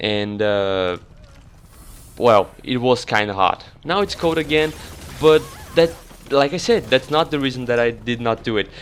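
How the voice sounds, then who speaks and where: Noticeable background noise can be heard. The talking goes at a fairly slow pace. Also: man, medium pitch for a man, lively intonation. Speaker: gaming YouTuber. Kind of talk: casual vlog talk to viewers. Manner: halting, self-correcting.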